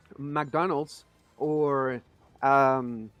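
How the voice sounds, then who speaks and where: Music plays in the background. Over it, a man speaks at a fairly high pitch. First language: Spanish. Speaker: gaming streamer. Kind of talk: live gameplay stream chat. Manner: a little quiet while focusing.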